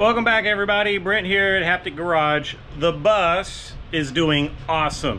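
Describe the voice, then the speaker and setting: Over light background noise, a man talks at a fairly slow pace. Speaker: garage channel host. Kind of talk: casual vlog chat. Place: garage. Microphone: phone near.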